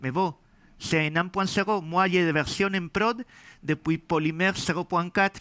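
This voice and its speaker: A man with a slight Spanish accent, high pitch and a bright, sharp tone at a fairly slow pace, dry and close with no echo in a very clean recording with a silent background. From Spain. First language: Spanish (speaking French). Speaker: software developer and conference speaker. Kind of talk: tech talk. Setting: meetup with audience.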